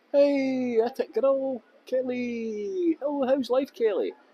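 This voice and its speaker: This man's voice sits at an extremely high pitch, with a dark, mellow tone and a Scottish accent. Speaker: tour guide. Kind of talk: live-streamed walking tour. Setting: outdoors. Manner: deliberately clear tour guide voice.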